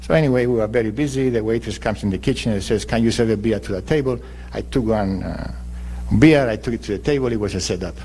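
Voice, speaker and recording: The speech is very fast. Room echo is audible. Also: man, fairly low pitch for a man, ordinary pitch variation. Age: 60s. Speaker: mayoral candidate. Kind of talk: political debate. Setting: public forum broadcast on radio.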